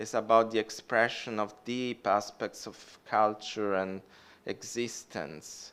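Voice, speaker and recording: At a fairly slow pace, a man speaks with an Italian accent at a medium pitch. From Italy. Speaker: academic historian. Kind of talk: lecture Q&A.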